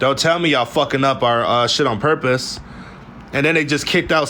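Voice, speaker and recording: Normal pitch movement against clearly audible background noise. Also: man. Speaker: political commentary vlogger. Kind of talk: news recap monologue. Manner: fast; animated.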